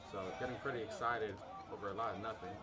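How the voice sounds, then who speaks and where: A man at medium pitch and a fairly quick pace, with audible room echo and crowd noise in the background. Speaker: student sports commentator. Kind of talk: live commentary. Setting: stadium. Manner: animated.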